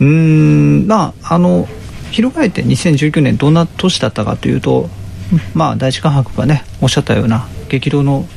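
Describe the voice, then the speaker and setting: Noticeable background noise surrounds a man whose loudness stays very even. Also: moderate pace. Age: middle-aged. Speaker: podcast host. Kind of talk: casual chat.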